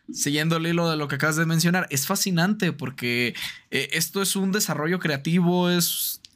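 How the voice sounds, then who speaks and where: Talking at a moderate pace, a man with a high voice and a Mexican accent uses ordinary pitch variation. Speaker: streamer and tabletop roleplaying gamer. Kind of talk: casual chat. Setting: call.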